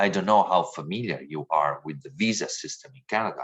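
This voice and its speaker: A man with an Italian accent speaks at a fairly quick pace, his fairly low voice carrying lively intonation. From Italy. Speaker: diversity trainer. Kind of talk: training lecture.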